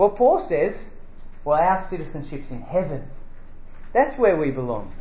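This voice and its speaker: In a room with audible echo, a man with an Australian accent speaks in a high pitch at a moderate pace. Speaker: preacher. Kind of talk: sermon. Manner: halting.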